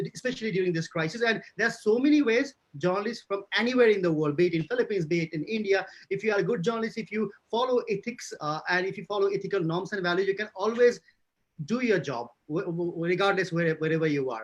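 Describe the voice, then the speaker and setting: This man talks at a very fast pace in a high pitch with ordinary pitch variation. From Nepal. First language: not English. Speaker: journalist. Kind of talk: panel discussion. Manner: halting.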